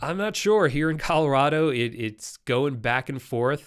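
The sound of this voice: Speaking at a fairly slow pace, a man has a medium-pitched, nasal voice. The tone is clear and smooth. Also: lively intonation, very clean recording, silent background.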